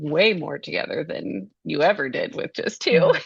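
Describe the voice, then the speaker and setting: A woman speaks at a moderate pace. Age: 30s. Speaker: health coach and homeschooling mother. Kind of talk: casual chat. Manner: calm, soothing.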